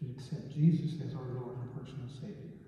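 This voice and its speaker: Strong room echo surrounds a man talking at a fairly slow pace. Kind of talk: prayer. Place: church. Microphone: camera far.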